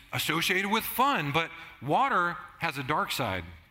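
Audible room echo surrounds a man speaking at a high pitch with lively intonation. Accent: American. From Southern California. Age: 50s. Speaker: pastor. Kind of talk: sermon.

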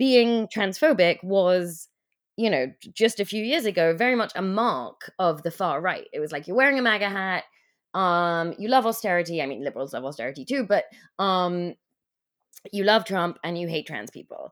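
A woman with an English accent speaks at a moderate pace and medium pitch, her intonation lively and her loudness swinging widely, in a very clean recording with a silent background. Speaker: writer and teacher. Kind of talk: interview. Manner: hesitant, many fillers.

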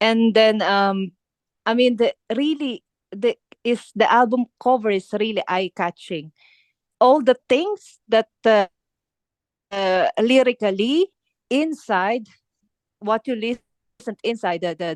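With lively intonation and a fairly high pitch, a woman speaks at a fairly slow pace with long, frequent pauses in a dry, close sound with no echo. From Philippines. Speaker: heavy metal drummer. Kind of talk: interview. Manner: halting, many fillers and repetitions; laughs often, enthusiastic.

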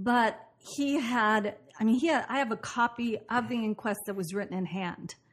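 Speaking with an American accent, a woman uses a fairly high pitch and a somewhat breathy voice. Her pace is moderate and her pitch variation ordinary. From US Pacific Northwest, Portland, Oregon. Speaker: actress and producer. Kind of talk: interview conversation.

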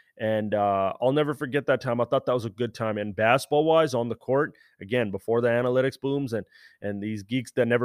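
A man with an American accent is heard over a quiet background, with a dry, close sound and no echo. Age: 20s. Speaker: basketball content creator. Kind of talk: casual monologue. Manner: animated.

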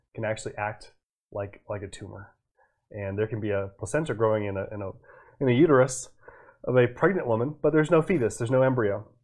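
A man with a medium pitch speaks very fast, leaving long, frequent pauses and swinging widely in loudness. His intonation is lively, and the recording is very clean with a silent background. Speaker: physician and evolutionary medicine educator. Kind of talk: casual science discussion, explanatory. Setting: livestream video.

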